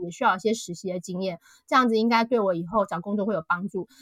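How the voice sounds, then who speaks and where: With an unremarkable speaking voice, a woman talks at a fairly quick pace in a fairly high pitch with ordinary pitch variation, the sound dry and close with no echo. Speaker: author. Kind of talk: interview. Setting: online call.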